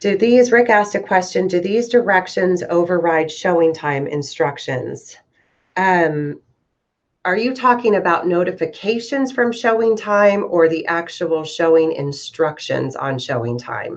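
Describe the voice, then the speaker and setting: Lively in intonation, a woman talks at medium pitch in an ordinary speaking voice. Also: fairly slow pace. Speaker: real estate software trainer. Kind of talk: tutorial. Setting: video call.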